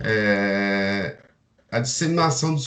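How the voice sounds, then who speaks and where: The speaker is a man with a somewhat breathy voice. His pitch moves up and down in an ordinary way. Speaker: agronomy student. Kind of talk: seminar presentation. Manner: halting.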